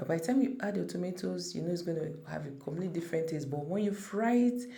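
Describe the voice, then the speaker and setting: Talking at a very fast pace, a woman with a fairly low pitch uses lively intonation amid audible room echo. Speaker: cooking channel creator. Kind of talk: cooking tutorial. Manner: casual, conversational.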